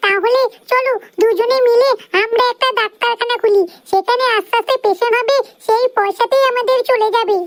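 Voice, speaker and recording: A squeaky, cartoonish character voice moves at a moderate pace with fairly even intonation and very even loudness, in dry, close sound with no echo. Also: woman, extremely high pitch for a woman. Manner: sharp-tongued, bossy.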